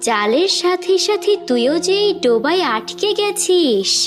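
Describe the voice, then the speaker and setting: A cartoonish character voice talks at a very slow pace in an extremely high pitch. Clear music plays in the background. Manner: harsh, commanding.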